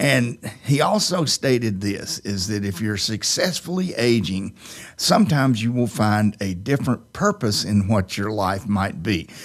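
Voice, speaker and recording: A man with a normal speaking voice talks at a fairly slow pace, his fairly low pitch carried by lively intonation. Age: 60s. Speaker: radio host. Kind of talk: casual chat.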